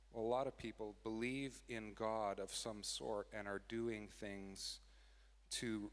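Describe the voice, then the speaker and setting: Speaking fairly slowly, a man talks in a Canadian accent. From Canada, British Columbia (Abbotsford). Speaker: worship leader. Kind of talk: sermon. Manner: halting.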